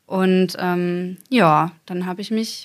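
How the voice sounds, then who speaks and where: A woman talks at a medium pitch with fairly even intonation. Hers is an unremarkable speaking voice. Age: 20s. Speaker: mounted federal police officer. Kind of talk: interview.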